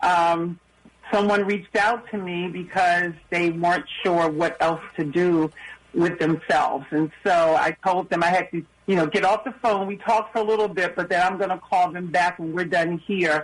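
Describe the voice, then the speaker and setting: Noticeable background noise sits behind a woman with a fairly low pitch. She speaks at a moderate pace with fairly even intonation. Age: 60s. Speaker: recovery coach. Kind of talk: testimony.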